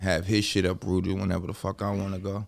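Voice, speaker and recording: A man with a very deep, low pitch talks at a fairly quick pace in a monotone, flat delivery with an American accent. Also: very clean recording, silent background. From New Jersey, Bergen County. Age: 30s. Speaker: rapper. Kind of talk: casual chat.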